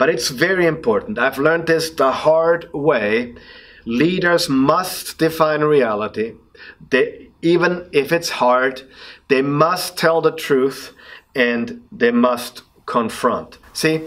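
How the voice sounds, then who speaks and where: In an Austrian accent, a man with a fairly high pitch talks at a very slow pace, with very even loudness and ordinary pitch variation. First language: German. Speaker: leadership speaker and coach. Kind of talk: motivational podcast talk. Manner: passionate; halting.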